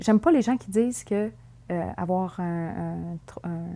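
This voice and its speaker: A woman speaks at a fairly slow pace with a dark, mellow tone and medium pitch. The recording is very clean, with a silent background. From Quebec City, Quebec. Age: 20s. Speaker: documentary interviewee. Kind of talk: interview testimony. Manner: hesitant, many fillers.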